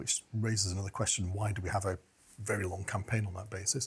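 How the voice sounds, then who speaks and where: A man's fairly low, somewhat breathy voice with a dark, mellow tone, fairly even intonation and a very fast pace. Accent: British. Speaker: communications and crisis management expert. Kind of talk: political discussion.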